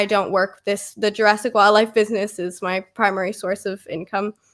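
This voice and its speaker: On a very clean recording with a silent background, a woman at medium pitch speaks at a moderate pace with fairly even intonation. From Australia, raised by Canadian parents. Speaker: snake breeder and vet nurse intern. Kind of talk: casual chat.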